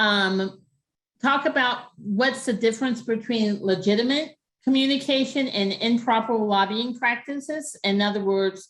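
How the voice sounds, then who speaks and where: A woman speaks in a normal speaking voice, fairly high in pitch, with ordinary pitch variation and very even loudness. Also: fairly slow pace. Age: 60s. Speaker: grants management consultant. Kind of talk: webinar presentation.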